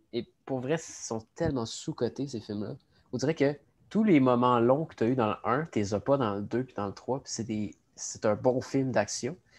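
At a moderate pace, a man with a Quebec accent speaks at a medium pitch with ordinary pitch variation and big swings in loudness, over a quiet background. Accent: Québécois French. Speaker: cégep student, podcast co-host. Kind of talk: casual chat.

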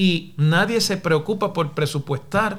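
A man speaks in a Puerto Rican accent. His pace is fairly slow, with ordinary pitch variation. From Puerto Rico, Mayagüez. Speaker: professor and political podcaster. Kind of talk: solo commentary podcast. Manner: formal.

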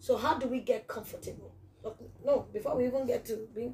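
An animated tone at a fairly quick pace. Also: woman. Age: 40s. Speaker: podcast host. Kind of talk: casual interview.

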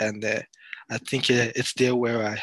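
In a dry, close sound with no echo, a man of medium pitch talks at a moderate pace with a French accent and monotone, flat intonation. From France. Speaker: sports content creator. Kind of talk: casual chat. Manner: halting.

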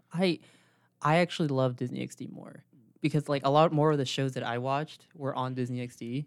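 A man with a normal speaking voice talks at a fairly high pitch, with fairly even intonation but big swings in loudness. The recording is very clean and the background silent. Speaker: podcast co-host. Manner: casual, filler-heavy.

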